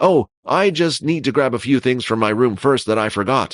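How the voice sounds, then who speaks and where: Against a quiet background, a man puts on a character voice. His pitch is medium and his pace moderate. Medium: audio drama. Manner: hesitant.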